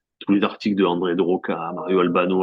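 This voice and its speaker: A man speaks with a strong Marseille accent. His very deep, low voice moves at a fairly quick pace. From France, Marseille. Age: 40s. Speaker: sports journalist. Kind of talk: interview. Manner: halting, many fillers and repeats.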